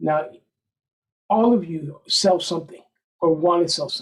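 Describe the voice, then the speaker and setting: A man speaks at a fairly quick pace in a high voice. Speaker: federal contractor. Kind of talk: workshop presentation. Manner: soft-spoken.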